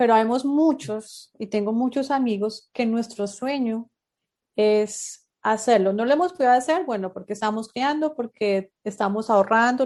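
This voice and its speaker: Against a quiet background, a woman speaks in a plain, everyday voice at a fairly high pitch, moderate pace and ordinary pitch variation. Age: 30s. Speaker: podcast host. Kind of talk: interview.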